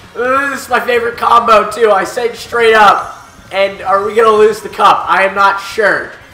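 A man's raised, projected voice, high in pitch, at a fairly slow pace, with audible room echo and music in the background. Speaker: gaming video creator. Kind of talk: let's play commentary. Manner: animated.

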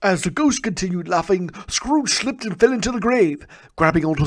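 Natural voice reading aloud, intonation lively throughout

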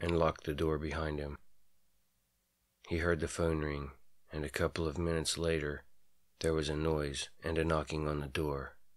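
A man's very deep, low voice at a moderate pace, monotone and flat, with long, frequent pauses in a very clean recording with a silent background. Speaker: voice actor. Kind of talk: horror story narration.

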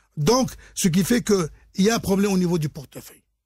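At a moderate pace, a man speaks with a high pitch and ordinary pitch variation in a very clean recording with a silent background. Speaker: insurance trainer and consultant. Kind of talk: radio interview explaining regulation. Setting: radio studio.

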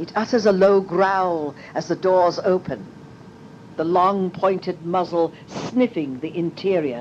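A woman's medium-pitched voice at a very slow pace, with noticeable background noise. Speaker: meditation guide. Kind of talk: guided meditation pathworking.

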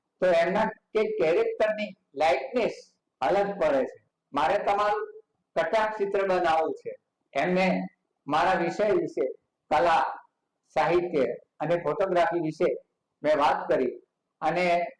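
A man's high-pitched voice comes through with ordinary pitch variation. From North Gujarat, Kheralu. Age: 80s+. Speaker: painter. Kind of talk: interview. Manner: halting.

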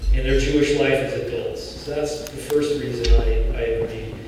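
A man speaks in a room with strong echo. Light background noise is present. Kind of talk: gala speech. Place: hall. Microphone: podium.

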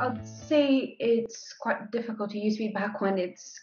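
The intonation is lively, with faint music in the background. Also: woman. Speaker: graduate student. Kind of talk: interview. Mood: calm, thoughtful. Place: kitchen. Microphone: webcam.

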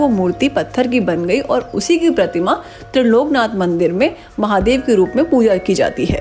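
A woman at a fairly slow pace, with music in the background. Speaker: travel vlogger narrator. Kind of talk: travel vlog narration.

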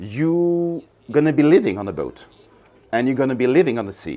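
A man's dark, mellow voice, fairly high in pitch with very wide pitch swings, at a moderate pace. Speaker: yacht company representative. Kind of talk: guided boat tour, sales pitch. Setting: aboard a boat. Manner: measured, explanatory, slightly halting with fillers. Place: boat.

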